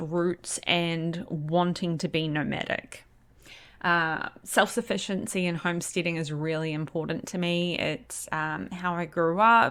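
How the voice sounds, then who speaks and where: A woman with an ordinary speaking voice, fairly low in pitch and fairly slow, on a very clean recording with a silent background. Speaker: podcast host. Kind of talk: podcast trailer monologue. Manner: casual, many fillers.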